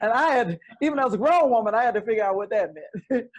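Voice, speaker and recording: A woman with an Alabama accent, fairly high in pitch, at a very fast pace. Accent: Southern US (Alabama). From US South. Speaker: gospel singer. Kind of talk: casual chat.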